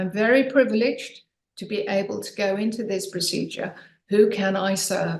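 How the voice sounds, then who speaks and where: Vocal fry in a woman's medium-pitched speech, with ordinary pitch variation. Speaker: author and podcast guest. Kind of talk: casual interview chat. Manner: animated.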